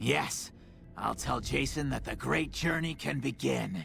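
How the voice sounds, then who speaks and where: A man does a raspy, put-on character voice at a fairly slow pace. Clear background noise can be heard. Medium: video game. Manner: wry, bitter.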